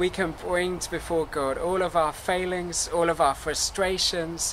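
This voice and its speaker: The speech moves at a very slow pace. Light background noise can be heard. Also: man. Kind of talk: service welcome address. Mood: warm, calm, earnest. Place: garden.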